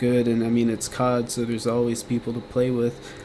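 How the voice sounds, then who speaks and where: Noticeable background noise is present. Through it, a man talks at a medium pitch. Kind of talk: casual gaming commentary rant. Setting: home recording with fan noise. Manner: rambling, casual.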